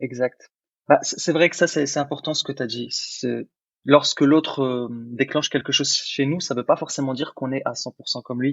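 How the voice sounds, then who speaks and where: At a moderate pace, a man talks in an ordinary speaking voice pitched fairly high. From born in Algeria, grew up in France. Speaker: podcast co-host. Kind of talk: casual chat.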